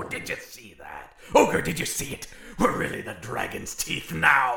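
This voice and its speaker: A man puts on a character voice. It sounds raspy. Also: moderate pace. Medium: audio drama. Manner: brash, excitable.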